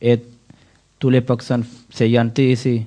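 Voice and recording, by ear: A man speaks at medium pitch with little pitch movement. His tone is dark and mellow.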